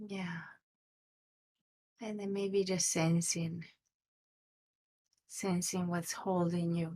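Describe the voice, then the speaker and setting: Soft-spoken and somewhat breathy, a woman with a fairly low voice talks at a very slow pace in a flat, monotone way. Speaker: meditation teacher. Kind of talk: guided meditation. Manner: uneven volume. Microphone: too quiet.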